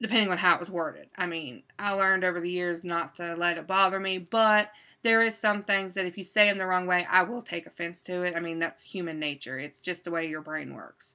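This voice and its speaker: A woman talks at a fairly quick pace with hardly any pauses, using a fairly low pitch and fairly even intonation. Her tone is bright and sharp, and the background is quiet. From West Virginia. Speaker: writer and book publisher. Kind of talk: casual monologue.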